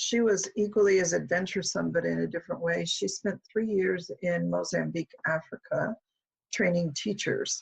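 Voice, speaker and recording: With an American accent, a woman speaks at a moderate pace in a dry, close sound with no echo. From US Midwest, Omaha, Nebraska. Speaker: professor. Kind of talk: interview. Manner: casual, hesitant with fillers.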